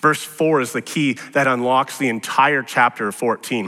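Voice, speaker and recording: Music plays behind a man whose voice shows ordinary pitch variation. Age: 40s. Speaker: pastor. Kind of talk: sermon.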